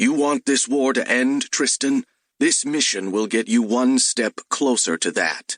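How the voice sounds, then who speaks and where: A man puts on a gruff character voice at medium pitch, speaking at a fairly slow pace with very even loudness in a dry, close sound with no echo. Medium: read story. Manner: gruff, dry.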